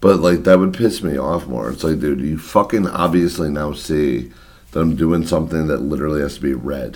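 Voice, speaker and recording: A man talks at a fairly quick pace in a very deep, low pitch. His voice has vocal fry and ordinary pitch variation. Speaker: podcast co-host. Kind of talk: casual chat. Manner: loud.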